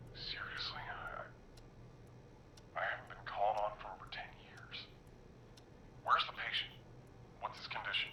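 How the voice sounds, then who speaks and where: A man whispers in a gruff, put-on character voice at a moderate pace. He leaves long, frequent pauses. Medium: video game. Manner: gruff, curt.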